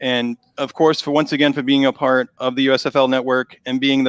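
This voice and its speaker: With a Boston accent, a man speaks in a medium pitch at a moderate pace. His intonation is monotone and flat. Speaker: online show host. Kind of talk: live interview. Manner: halting, repeats words.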